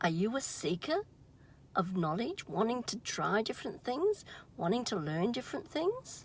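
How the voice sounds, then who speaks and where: A woman's fairly high, somewhat breathy voice at a fairly slow pace, with very wide pitch swings over a quiet background. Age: 70s. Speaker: vlogger and emotional wellbeing practitioner. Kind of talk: casual vlog monologue. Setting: in a car.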